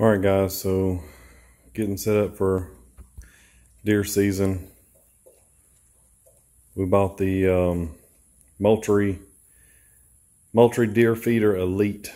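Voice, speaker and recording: A man speaks very slowly in a fairly low, dark, mellow voice. His intonation is monotone and flat, with long, frequent pauses. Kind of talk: tutorial. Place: garage. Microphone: phone near.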